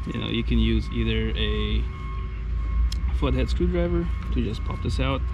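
Music sounds behind the speaker. He is a man talking at a moderate pace. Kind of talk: tutorial. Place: open country. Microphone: phone near.

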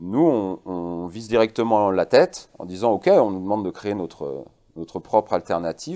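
A man speaks with lively intonation and big swings in loudness against a quiet background. His fairly low voice has a dark, mellow tone. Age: 40s. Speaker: guest. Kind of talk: interview. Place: studio. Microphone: lapel.

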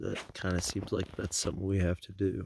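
Light background noise sits behind a man with a very deep, low pitch, and the sound is dry with no echo. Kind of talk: casual vlog chat. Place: open country. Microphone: phone near.

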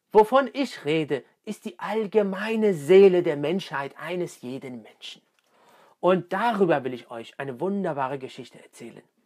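A man speaks in an animated, dramatic tone, his pitch swinging very widely. His loudness rises and falls sharply against a quiet background. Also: moderate pace. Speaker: storyteller and storytelling coach. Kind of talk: storytelling, fairy-tale-like narration of a creation myth. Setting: self-recorded video to camera. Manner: animated, expressive, narrating with dramatic pacing; warm, conversational, addressing the audience directly. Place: home room.

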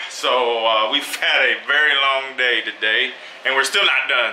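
A man's speech carries audible room echo along with light background noise. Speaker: travel vlogger. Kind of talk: casual vlog chat. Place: home room. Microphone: phone near.

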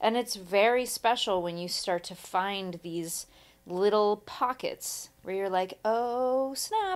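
A woman talks at a very slow pace in an American accent. Her pitch is medium and varies in an ordinary way. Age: 30s. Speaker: podcast co-host. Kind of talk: casual chat.

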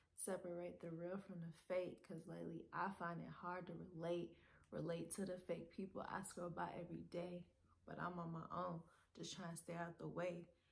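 Her voice sits at a fairly low pitch with vocal fry. The woman speaks with monotone, flat intonation. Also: moderate pace. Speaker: poet. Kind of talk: spoken word poetry reading.

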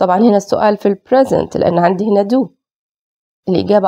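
Her voice has a dark, mellow tone at a medium pitch as the woman speaks at a fairly quick pace. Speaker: English teacher. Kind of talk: lecture.

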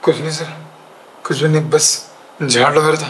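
A man's raspy put-on character voice, fairly high and very fast, monotone and flat yet with big swings in loudness, over clear background noise. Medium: short film. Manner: outwardly submissive. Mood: nervous denial.

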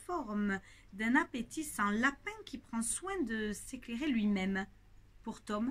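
The voice is plain reading aloud with lively intonation.

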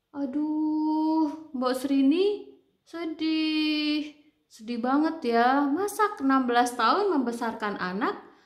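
A woman's high-pitched voice at a very slow pace, with audible room echo and a quiet background. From Indonesia. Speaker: book club channel host and storyteller; storyteller. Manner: chatty, drawn-out rhetorical questions to the audience; animated and expressive, with exclamations like aduh and wah. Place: home room. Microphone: earbuds.

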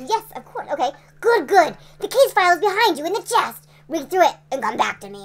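A woman puts on a character voice pitched extremely high, delivering it at a moderate pace. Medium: game stream.

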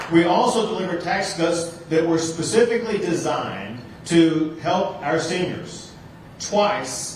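This man's voice sits high in pitch and shows ordinary pitch variation. Light background noise and audible room echo are present. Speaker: politician addressing seniors. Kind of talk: campaign speech. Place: hall.

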